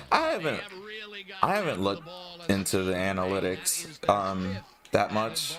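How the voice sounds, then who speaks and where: Over noticeable background noise, a man with a fairly low voice talks at a fairly slow pace with lively intonation and long, frequent pauses. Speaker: gaming streamer. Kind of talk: casual chat. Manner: halting, frequent pauses.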